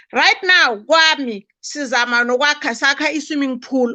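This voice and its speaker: Against a quiet background, a woman with a Zulu accent projects a raised, bright, sharp voice, high in pitch with lively intonation, at a fairly slow pace. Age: 60s. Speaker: guest. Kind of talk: live-stream chat.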